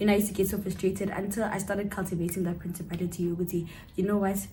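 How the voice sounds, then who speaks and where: Very fast and monotone, a woman's medium-pitched voice has flat intonation and audible room echo. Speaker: cousin of the channel host, guest. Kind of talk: casual chat.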